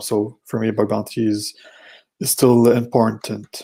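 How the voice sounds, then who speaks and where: With a French Canadian accent, a man speaks at a medium pitch in a dark, mellow tone. His intonation is monotone and flat, with vocal fry. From Quebec. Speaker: security researcher. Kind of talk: conference talk. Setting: virtual conference. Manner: hesitant, many fillers.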